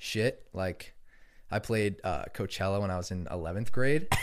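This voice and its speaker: A man talks at a moderate pace in a fairly low voice with ordinary pitch variation, a normal speaking voice. The recording is very clean, with a silent background. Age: 20s. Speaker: music producer and DJ. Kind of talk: casual chat.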